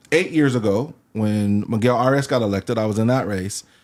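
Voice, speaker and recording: A man talks in a fairly low pitch. The recording is very clean, with a silent background. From Fresno, California. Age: 60s. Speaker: educator and political candidate. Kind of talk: interview.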